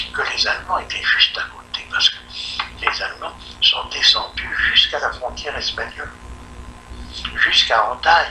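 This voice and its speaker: Over noticeable background noise, a man speaks at a moderate pace with long, frequent pauses and big swings in loudness. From France. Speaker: novelist. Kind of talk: interview answer.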